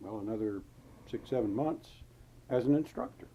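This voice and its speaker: Speaking with a North Carolina accent, a man keeps a moderate pace, a dark, mellow tone and fairly even intonation. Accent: Southern US (North Carolina). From US South, North Carolina. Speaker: war veteran. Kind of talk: interview. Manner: halting.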